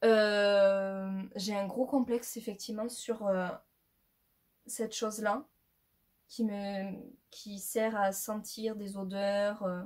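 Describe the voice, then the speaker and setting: Long, frequent pauses break up a woman's very slow speech. Her medium-pitched voice stays monotone and flat. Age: 20s. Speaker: YouTuber. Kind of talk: casual vlog talk to camera. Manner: halting, many fillers.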